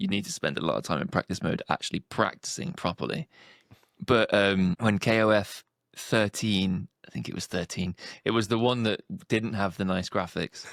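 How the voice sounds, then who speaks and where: A man speaks with a Yorkshire accent at a moderate pace. The sound is dry and close, with no echo. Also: ordinary pitch variation, very clean recording, silent background. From northern England. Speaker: speedrunner. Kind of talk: casual chat. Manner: animated.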